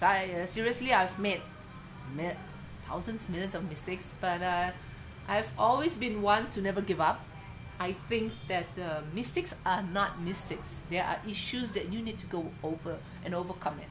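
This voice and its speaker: Audible room echo surrounds a woman who speaks at a moderate pace with a medium pitch and ordinary pitch variation. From Indonesia. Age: 50s. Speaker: artist and craft educator. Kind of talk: interview. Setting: at home.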